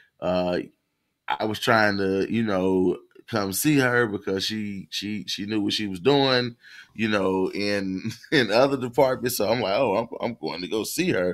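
A man with an American accent talks in an ordinary speaking voice at a fairly low pitch. His pace is fairly slow and his pitch varies normally. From US South. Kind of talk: casual live call-in chat.

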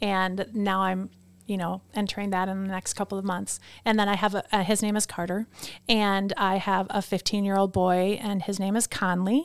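A woman with an American accent speaks at a moderate pace in a medium pitch, her intonation flat and monotone. The recording is very clean, with a silent background. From US Midwest, Wisconsin. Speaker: photographer and designer. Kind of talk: casual interview. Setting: studio.

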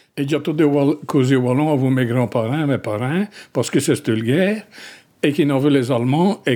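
A man talks at a moderate pace, his fairly high pitch showing ordinary variation. His tone is dark and mellow. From Wallonia, Belgium (rural village). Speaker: dialect poet. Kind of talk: interview.

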